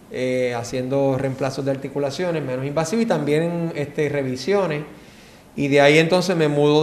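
Over noticeable background noise and audible room echo, a man speaks at a moderate pace with a fairly high pitch and ordinary pitch variation. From Puerto Rico, San Juan. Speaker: orthopedic surgeon, former gymnast. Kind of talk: casual interview.

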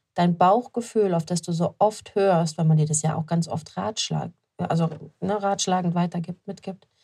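This woman has a fairly low pitch and a somewhat breathy voice. She speaks at a moderate pace. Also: fairly even intonation. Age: 30s. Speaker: business coach and podcast host. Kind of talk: solo motivational monologue. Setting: shop-front office with building work outside. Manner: casual, unscripted with frequent fillers.

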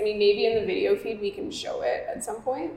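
A woman with a Canadian accent talks at a fairly quick pace, her pitch swinging very widely. Noticeable background noise runs underneath. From Canada, Toronto (Parkdale). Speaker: digital nomad. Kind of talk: casual chat. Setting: in person, coworking space.

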